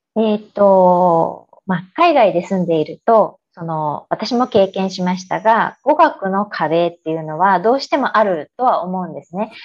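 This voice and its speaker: At a fairly slow pace, a woman speaks in a plain, everyday voice with a medium pitch. Her intonation is lively, and her loudness swings widely. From Japan (Aichi, Yokohama), teens in Chicago. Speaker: interview guest. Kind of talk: interview.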